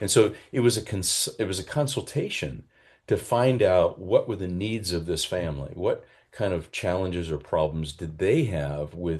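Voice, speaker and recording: Against a quiet background, a man with a very deep, low pitch speaks at a moderate pace with lively intonation and a somewhat breathy voice. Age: 60s. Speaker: change management consultant. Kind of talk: interview. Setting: podcast interview.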